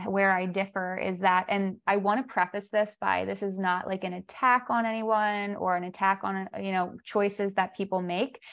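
A woman with an unremarkable speaking voice talks at a moderate pace with hardly any pauses. Her medium pitch holds fairly even intonation over a quiet background. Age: 30s. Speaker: holistic health coach. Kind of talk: casual chat.

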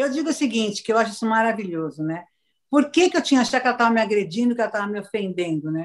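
Against a quiet background, the speech moves very fast with very wide pitch swings. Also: woman, fairly high pitch for a woman. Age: 60s. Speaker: motivational speaker. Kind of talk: casual chat. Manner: animated.

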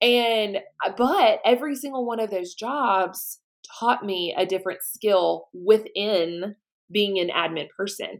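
A woman with a slight Southern US accent, medium in pitch, fairly slow, with ordinary pitch variation. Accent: slight Southern twang. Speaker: podcast host. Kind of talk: casual interview chat.

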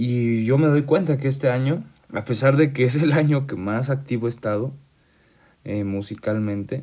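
A man speaks at a fairly slow pace in a dark, mellow tone. His pitch varies in an ordinary way. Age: 20s. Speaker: podcast host. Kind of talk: casual monologue. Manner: halting.

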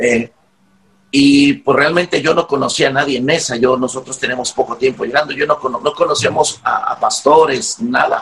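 A man with a fairly high pitch speaks at a moderate pace in an ordinary speaking voice, showing ordinary pitch variation. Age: 40s. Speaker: pastor. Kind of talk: interview.

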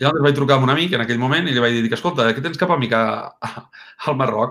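This man has a medium pitch and ordinary pitch variation. His tone is energetic and animated. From Catalonia, Lleida area (Mollerussa). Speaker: football agent. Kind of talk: interview conversation. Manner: energetic, animated.

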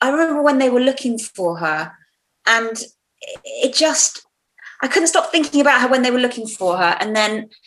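Using very wide pitch swings, a woman with a British accent speaks at a moderate pace. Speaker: podcast co-host. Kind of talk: casual chat.

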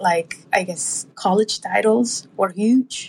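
A woman speaks very slowly with a somewhat breathy voice and a Spanish accent. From Colombia. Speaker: abstract artist. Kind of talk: casual interview. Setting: live audio chat room.

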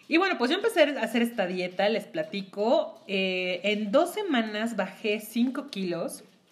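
A woman with a fairly high pitch speaks in an animated tone at a fairly slow pace, with lively intonation, hardly any pauses and noticeable background noise. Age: 30s. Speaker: podcast co-host. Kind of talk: casual chat.

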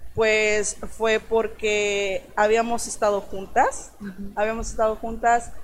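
A woman's fairly high, flat monotone at a very slow pace with hardly any pauses. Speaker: model. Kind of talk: interview testimony.

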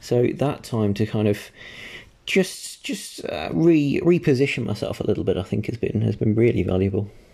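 A man at a medium pitch has a dark, mellow tone with some vocal fry. He keeps a moderate pace while his pitch swings very widely. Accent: English. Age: 20s. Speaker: podcast co-host. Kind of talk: casual chat.

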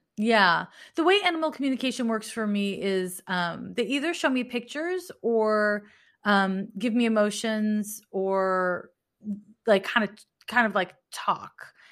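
In an ordinary speaking voice, a woman with a fairly high pitch speaks at a fairly slow pace with lively intonation on a very clean recording with a silent background. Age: 40s. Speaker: astrologer and animal communicator. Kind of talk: casual interview conversation.

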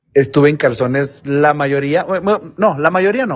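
Fairly high-pitched male voice with a Mexican accent, at a moderate pace. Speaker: office worker. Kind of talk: storytelling.

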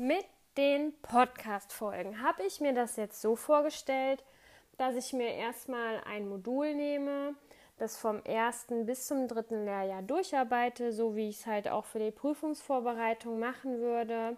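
A woman speaks in a high voice at a fairly slow pace, with ordinary pitch variation. The recording is very clean, with a silent background. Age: 20s. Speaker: nursing student. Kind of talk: podcast monologue. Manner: halting; hesitant, many fillers.

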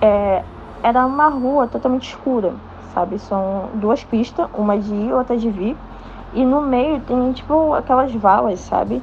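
At a fairly slow pace, a woman speaks with a fairly high pitch and ordinary pitch variation over noticeable background noise. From Rio de Janeiro. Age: young. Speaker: listener. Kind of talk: testimony.

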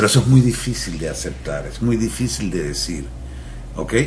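A Venezuelan accent amid noticeable background noise and audible room echo. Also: man. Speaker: mental health therapist. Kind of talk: radio interview.

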